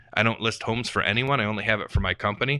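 A man speaks very fast at medium pitch with a bright, sharp tone, in a very clean, dry, close recording with a silent background and no echo. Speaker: real estate investor. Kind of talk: casual chat. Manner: animated.

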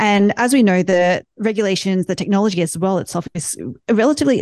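Against a quiet background, a woman speaks with ordinary pitch variation in a dry, close sound with no echo. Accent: Australian. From Australia. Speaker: tech company founder. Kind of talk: panel discussion.

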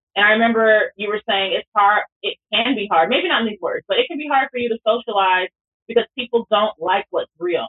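A woman with an ordinary speaking voice talks at a fairly quick pace, her fairly high pitch showing ordinary variation. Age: 40s. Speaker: pastor. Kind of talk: casual chat.

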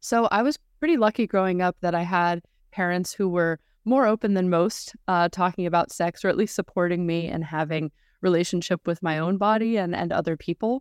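Against a quiet background, a woman has an unremarkable speaking voice, fairly low in pitch with ordinary pitch variation, moving at a fairly quick pace in a dry, close sound with no echo. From California, US. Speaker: sex therapist and podcaster. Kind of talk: interview conversation.

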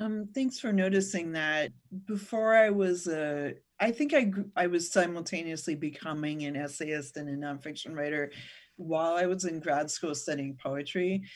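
With an American accent, a woman speaks at a moderate pace, her pitch fairly low and her pitch variation ordinary. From Northern California. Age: 40s. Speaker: writer and university writing teacher. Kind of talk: interview conversation.

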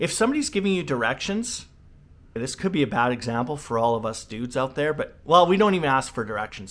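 Animated male voice, fairly high in pitch with very wide swings, on a very clean recording with a silent background. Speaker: leadership coach. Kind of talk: solo educational talk. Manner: fast.

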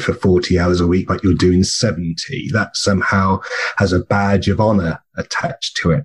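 A man with a southern English accent and a very deep, low pitch, at a moderate pace with fairly even intonation, over noticeable background noise. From southern England (Bournemouth). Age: 50s. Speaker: burnout peer support co-host and speaker. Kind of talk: interview conversation.

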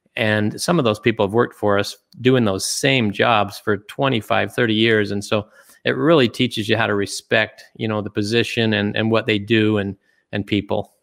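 A man with an American accent and an unremarkable speaking voice talks at a moderate pace, a fairly low pitch and with fairly even intonation on a very clean recording with a silent background. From US, Utah. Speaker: retired business executive and investor. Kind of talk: interview.

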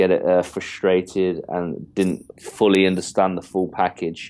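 Very deep and low, a man's voice carries an English accent. He speaks at a fairly slow pace over a quiet background. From England. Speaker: entrepreneur mentor and author. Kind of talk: interview. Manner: confident, cheeky.

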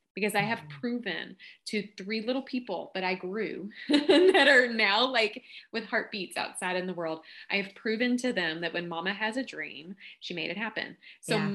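Her tone is bright and sharp, and her intonation lively. The woman speaks at a medium pitch with a Kentucky accent. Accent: Southern drawl, Kentucky. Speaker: podcast guest, book marketing consultant.

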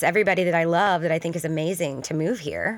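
In an American accent, a woman talks at a very fast pace on a very clean recording with a silent background. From US South. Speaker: photographer. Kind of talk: interview. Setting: studio.

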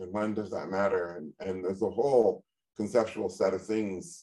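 A man with a normal speaking voice talks at a fairly low pitch and a moderate pace with ordinary pitch variation. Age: 50s. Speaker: podcast co-host and gold company founder. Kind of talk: interview.

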